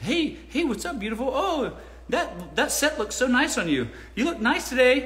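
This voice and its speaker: A man puts on a character voice at extremely high pitch. Light background noise is audible. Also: moderate pace. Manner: flirty creepy.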